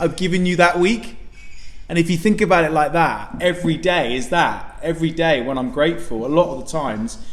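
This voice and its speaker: Loud and animated, a man with a high pitch speaks at a fairly quick pace, with audible room echo and noticeable background noise. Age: young. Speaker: podcast co-host. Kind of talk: casual chat. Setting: restaurant.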